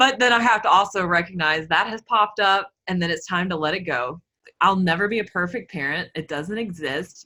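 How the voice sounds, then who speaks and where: A woman speaks with a Southern accent at a fairly quick pace and medium pitch. Her intonation is lively and her tone bright and sharp. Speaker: body image and food coach. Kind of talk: casual interview.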